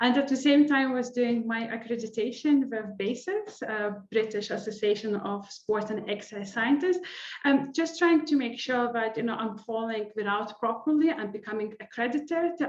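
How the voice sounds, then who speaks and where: This woman speaks with a non-native accent and a fairly high pitch, barely pausing and using ordinary pitch variation. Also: moderate pace. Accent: non-native, noticeable. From Lithuania. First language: Lithuanian. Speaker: sport psychology lecturer. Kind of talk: interview.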